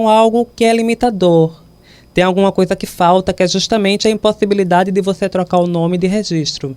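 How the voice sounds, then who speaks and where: With ordinary pitch variation, the speaker has an unremarkable speaking voice. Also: woman. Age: 20s. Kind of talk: interview.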